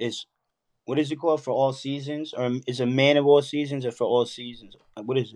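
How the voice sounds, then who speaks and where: A man with a New York accent talks at a fairly quick pace and a fairly high pitch, in a monotone with flat intonation. His loudness swings widely. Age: 30s. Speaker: rapper. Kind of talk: casual chat.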